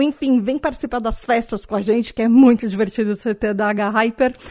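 The voice is an unremarkable speaking voice. Its pitch moves with ordinary variation. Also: woman, quiet background. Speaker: podcast host. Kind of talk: casual solo podcast talk.

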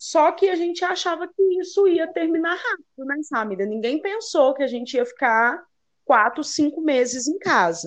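A woman talks at a moderate pace in a high voice that swings very widely in pitch. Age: 30s. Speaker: journalist and mother of a child with Down syndrome. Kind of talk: interview.

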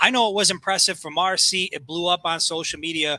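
Speaking at a fairly quick pace, this man has a high pitch, a bright, sharp tone and fairly even intonation in a dry, close recording with no echo. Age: 30s. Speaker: sports podcast co-host. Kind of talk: casual sports talk.

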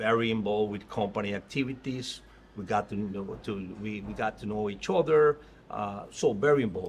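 A man speaks with a Spanish accent in a fairly low voice. His pitch varies in an ordinary way. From Mexico, Tabasco. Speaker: restaurant industry executive. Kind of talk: interview. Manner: halting.

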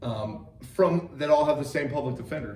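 The man's intonation is lively. There is some breathiness in his voice. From Wyoming, US. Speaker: podcast co-host. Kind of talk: casual chat about true crime.

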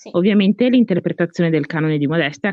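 A woman races along at a very fast pace with lively intonation. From Italy. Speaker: podcast host. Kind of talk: casual chat.

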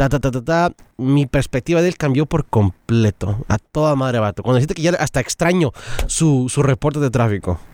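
With lively intonation and very even loudness, a man of medium pitch speaks at a moderate pace in a dry, close sound with no echo. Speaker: radio colleague, guest. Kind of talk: casual chat.

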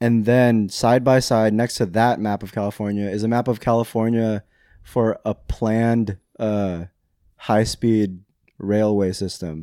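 Recorded very cleanly against a silent background, a man with a fairly low pitch and a dark, mellow tone speaks at a fairly slow pace with fairly even intonation. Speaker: podcast co-host. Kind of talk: casual chat. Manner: casual, joking, swears often.

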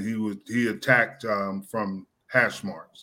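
Speaking with an American accent, a man uses a medium pitch and fairly even intonation. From New Jersey, Jersey Shore. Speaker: former NFL player and coach. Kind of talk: interview. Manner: halting, many fillers.

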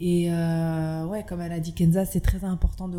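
A woman speaks at a moderate pace in a fairly low pitch with a dark, mellow tone. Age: 20s. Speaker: restaurant owner. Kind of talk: casual interview.

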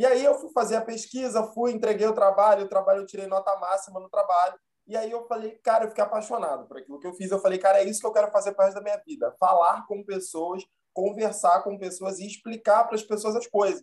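A high-pitched man at a very fast pace, fairly even intonation and big swings in loudness. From Rio de Janeiro, Zona Norte. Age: 30s. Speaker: history teacher and actor. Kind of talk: casual interview.

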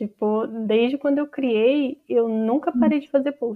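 A woman's voice with ordinary pitch variation at a moderate pace. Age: 20s. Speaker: writer and social media content creator. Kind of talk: casual interview.

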